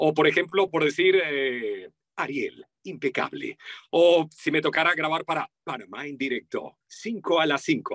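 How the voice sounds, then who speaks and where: A Venezuelan accent with ordinary pitch variation, in a dry, close sound with no echo. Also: man. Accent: Venezuelan, sing-song. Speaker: voice-over artist. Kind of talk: interview.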